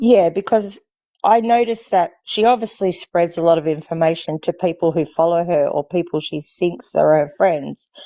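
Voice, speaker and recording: With an Australian accent and a dark, mellow tone, a woman speaks at a moderate pace and ordinary pitch variation in a dry, close sound with no echo. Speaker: livestream guest. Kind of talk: casual chat.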